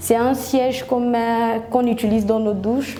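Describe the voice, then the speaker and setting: Amid noticeable background noise and audible room echo, a woman speaks at a fairly high pitch and a fairly slow pace. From Gabon. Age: 20s. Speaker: entrepreneur. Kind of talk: product presentation.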